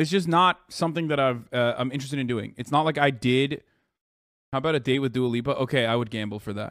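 Very fast speech with ordinary pitch variation comes through dry, with no echo and a quiet background. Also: man. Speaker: live streamer. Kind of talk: casual stream commentary reacting to chat. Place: home room. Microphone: studio mic.

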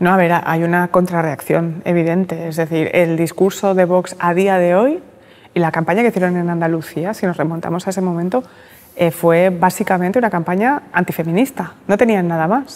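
A woman has an unremarkable speaking voice, a fairly low pitch, ordinary pitch variation and a moderate pace. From Catalonia, Barcelona. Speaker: journalist and writer; journalist. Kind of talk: interview. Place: hall. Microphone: lapel.

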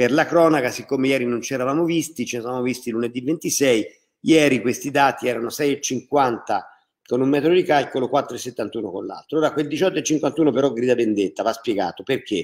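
A man has an unremarkable speaking voice at medium pitch. His pace is moderate and his pitch variation ordinary. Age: 60s. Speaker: mayor. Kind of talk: public information livestream. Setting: live video broadcast.

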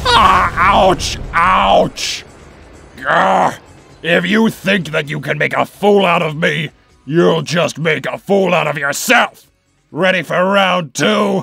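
A man's cartoonish character voice, raspy and high-pitched, at a very slow pace over faint background music. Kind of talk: cartoon villain overacting. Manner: gloating, theatrical, commanding.

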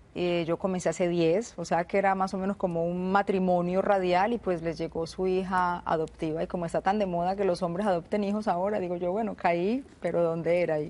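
A woman speaks at a fairly quick pace with hardly any pauses, her medium-pitched voice dark and mellow in tone. Her intonation stays monotone and flat against a quiet background. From Colombia, Medellín. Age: 30s. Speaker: radio host. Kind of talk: TV interview.

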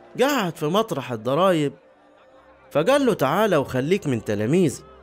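A man talks at a fairly slow pace with very wide pitch swings, and music plays in the background. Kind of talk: scripture reading.

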